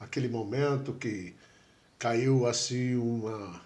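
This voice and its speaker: A man at a very slow pace, medium in pitch, with fairly even intonation. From USA. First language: English (speaking Portuguese). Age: 70s. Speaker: tattoo artist and writer. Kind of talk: interview.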